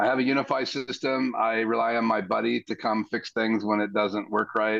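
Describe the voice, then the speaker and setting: A man with an ordinary speaking voice talks at a medium pitch with fairly even intonation and very even loudness. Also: moderate pace. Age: 60s. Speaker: live stream guest, church audio hobbyist. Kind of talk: casual chat.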